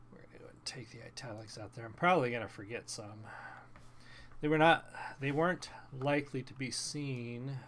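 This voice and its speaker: A medium-pitched man speaks at a fairly quick pace with ordinary pitch variation. His loudness swings widely, and he takes long, frequent pauses. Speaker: author and streamer. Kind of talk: live reading and editing of own story. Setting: live stream. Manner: halting, self-correcting.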